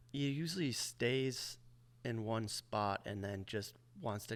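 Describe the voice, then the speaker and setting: A soft-spoken man with an American accent, fairly low pitch, and ordinary pitch variation. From Michigan, USA. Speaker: motorcycle racer and tire tester. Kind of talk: interview answer.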